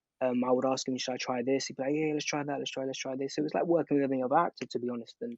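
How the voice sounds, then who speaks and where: A man speaks at a fairly high pitch. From East London, England (born in Algeria). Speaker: actor. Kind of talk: interview anecdote, casual chat. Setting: podcast. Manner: animated, casual with fillers.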